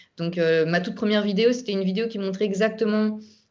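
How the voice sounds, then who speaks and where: This woman has a normal speaking voice, medium in pitch, with fairly even intonation. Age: 30s. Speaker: YouTuber sharing health recovery story. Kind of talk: testimony.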